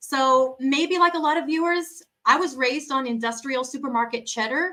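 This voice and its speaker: A woman speaks with an American accent. Her tone is bright and sharp. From USA. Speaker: cheese specialist. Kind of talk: interview. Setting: video call.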